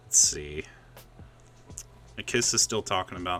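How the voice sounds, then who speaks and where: A man talks at a moderate pace. Behind him, music is playing. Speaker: podcast host. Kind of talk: casual chat. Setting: live stream with guests on Discord. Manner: loud.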